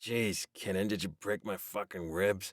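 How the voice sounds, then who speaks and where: A man uses a put-on character voice, raspy and fairly low in pitch, at a moderate pace. His intonation stays monotone and flat, and the sound is dry and close with no echo. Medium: read story.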